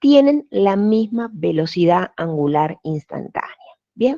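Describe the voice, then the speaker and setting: At a fairly slow pace, a woman speaks in a medium pitch with a dark, mellow tone. Her intonation is lively, and the sound is dry and close with no echo. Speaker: physics teacher. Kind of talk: online lecture. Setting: video call. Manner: hesitant, many fillers.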